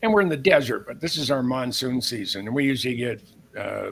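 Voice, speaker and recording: The man's voice sits at a medium pitch and carries vocal fry. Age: 70s. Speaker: military historian and author. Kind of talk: live show interview.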